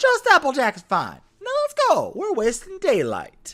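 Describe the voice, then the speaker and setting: A man in a put-on character voice, extremely high in pitch, at a fairly slow pace. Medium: read story. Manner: folksy, plainspoken.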